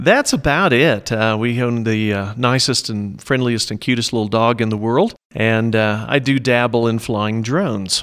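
A man talks at a moderate pace with hardly any pauses, in a normal speaking voice. His pitch sits in the medium range and varies in an ordinary way. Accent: American. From Oklahoma (Norman, central Oklahoma). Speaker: small business owner, printer and photographer. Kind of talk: interview.

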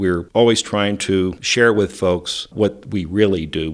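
On a very clean recording with a silent background, a man with an American accent speaks in an unremarkable speaking voice, fairly low in pitch with ordinary pitch variation. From West Texas. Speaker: architect. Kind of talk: interview.

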